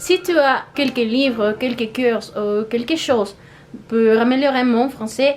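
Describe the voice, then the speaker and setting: Speaking fairly slowly, a woman with a Spanish accent has a high-pitched voice. Noticeable background noise runs underneath. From Mexico. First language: Spanish (speaking French). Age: 20s. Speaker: language-learning YouTuber. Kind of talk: vlog monologue. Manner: halting, with hesitations.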